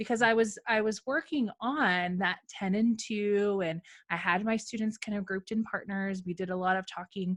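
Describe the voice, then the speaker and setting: A woman speaks in an animated tone at a medium pitch. The background is quiet. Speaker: podcast host and former teacher. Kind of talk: casual interview chat. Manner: fast.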